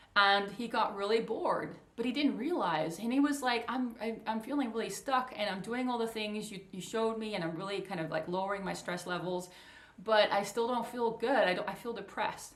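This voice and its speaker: A woman speaks at a fairly quick pace with a fairly high pitch. Audible room echo surrounds her voice. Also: ordinary pitch variation. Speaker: coach for highly sensitive people. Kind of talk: casual talk to camera. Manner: fast.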